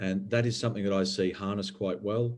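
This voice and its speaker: This man speaks with an Australian accent. His intonation stays fairly even. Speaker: environmental regulator. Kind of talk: panel discussion.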